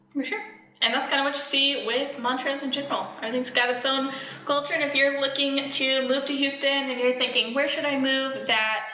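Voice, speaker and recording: A woman speaks in a raised, projected voice with a slight Texan accent, at a high pitch and a fairly quick pace. Her intonation is monotone and flat, and there is audible room echo along with noticeable background noise. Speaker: real estate agent. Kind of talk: casual chat.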